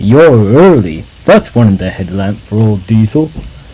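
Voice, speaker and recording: A man's rumbling, put-on character voice at a medium pitch and moderate pace. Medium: read story.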